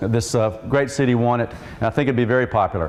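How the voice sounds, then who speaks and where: Noticeable background noise fills the clip. A man's voice sounds through it. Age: 60s. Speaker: mayoral candidate and city council member. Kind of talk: political debate. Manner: earnest, direct address to audience.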